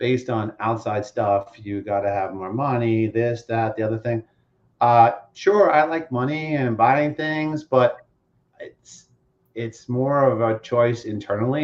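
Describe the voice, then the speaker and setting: A man's plain, everyday voice, medium in pitch, with ordinary pitch variation and a fairly slow pace. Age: 50s. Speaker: finance executive and mental health advocate. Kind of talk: podcast interview answer.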